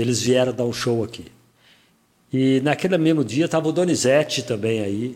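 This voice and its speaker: This man talks at a moderate pace and a medium pitch, varying it in an ordinary way. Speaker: radio broadcaster and podcast host. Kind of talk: casual interview chat.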